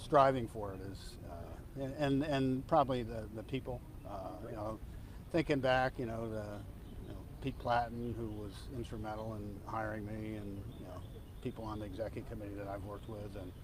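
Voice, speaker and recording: Audible room echo surrounds a man speaking at a moderate pace with a fairly low pitch. His loudness swings widely while his pitch varies in an ordinary way. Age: 60s. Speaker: football team executive. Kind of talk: press conference. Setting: media scrum. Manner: halting, many fillers.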